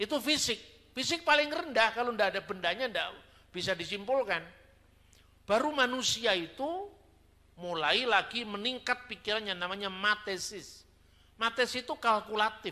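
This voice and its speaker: Projecting a raised voice, a man speaks at a high pitch and a moderate pace. His intonation is lively. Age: 50s. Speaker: theologian. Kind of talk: sermon-style teaching talk. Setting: church. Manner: conversational, colloquial.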